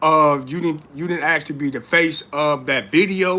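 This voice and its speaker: With a bright, sharp tone and fairly high pitch, a man speaks at a moderate pace in an animated tone, his pitch varying in an ordinary way. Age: 40s. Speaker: YouTube live streamer, commentator. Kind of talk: casual live-stream commentary. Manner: animated, repetitive filler.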